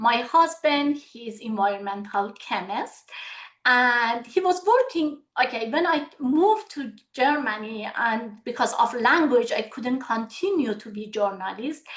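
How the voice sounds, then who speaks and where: With a Persian accent, a high-pitched woman speaks fairly slowly, with lively intonation and big swings in loudness. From Iran. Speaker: medical aesthetician. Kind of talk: webinar Q&A. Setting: video webinar.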